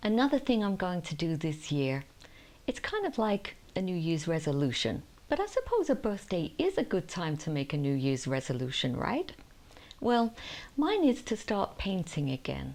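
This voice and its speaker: A woman with a warm tone speaks at a moderate pace around a medium pitch, with very wide pitch swings. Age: 60s. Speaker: lifestyle vlogger. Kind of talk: casual talk to camera. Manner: warm, chatty.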